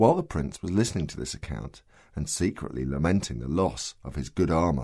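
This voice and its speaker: Very clean and silent behind him, a man's voice sits at a very deep, low pitch, dark and mellow in tone, with vocal fry and lively intonation. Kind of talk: audiobook story reading.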